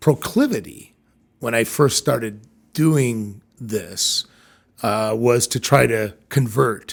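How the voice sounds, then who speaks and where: This man talks very slowly, his voice sitting at a medium pitch with ordinary pitch variation. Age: 60s. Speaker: leadership consultant and CEO. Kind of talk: podcast interview. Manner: hesitant, with many fillers.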